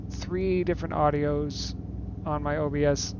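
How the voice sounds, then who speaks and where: This soft-spoken man mumbles in a fairly low voice with very wide pitch swings. Audible room echo and noticeable background noise surround him. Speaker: gaming streamer. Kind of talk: casual chat. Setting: live stream. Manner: mumbling.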